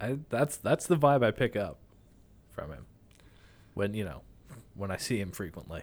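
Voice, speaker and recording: Speaking in a fairly low pitch with vocal fry, a man makes very wide pitch swings and big swings in loudness, with long, frequent pauses. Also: moderate pace. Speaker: podcast host. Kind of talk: casual chat.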